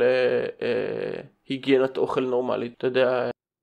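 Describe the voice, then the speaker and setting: Here a man is talking. His pace is moderate. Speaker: podcast host. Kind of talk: casual chat; reading aloud.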